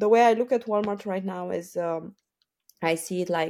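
With a Romanian accent, a woman talks at a fairly slow pace, her fairly low voice dark and mellow in tone. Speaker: Amazon seller and founder. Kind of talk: casual interview.

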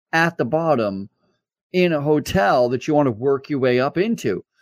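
In an unremarkable speaking voice, a man speaks at a fairly high pitch with lively intonation. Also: dry, close sound with no echo. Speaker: podcast host. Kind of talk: interview. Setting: video call. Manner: laughs often.

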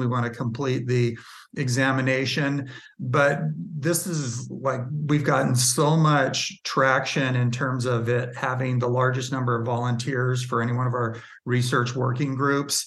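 The man's voice sits at a medium pitch. It has a somewhat breathy quality. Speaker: industry group executive. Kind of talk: casual interview chat.

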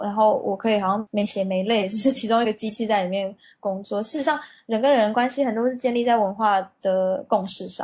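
Somewhat breathy and fairly high, a woman's voice moves at a fairly quick pace with ordinary pitch variation. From Taiwan. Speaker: marketing manager at a cosmetics company. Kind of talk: interview.

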